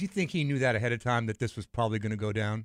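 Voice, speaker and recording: A man talks with an American accent. The sound is dry and close with no echo, on a very clean recording with a silent background. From Los Angeles, California. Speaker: spine surgeon, co-host. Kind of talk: casual chat.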